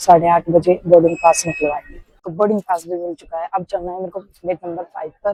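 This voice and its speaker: A woman talks at a moderate pace with hardly any pauses, her fairly low voice monotone and flat but with big swings in loudness. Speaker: vlogger. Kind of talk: casual vlog.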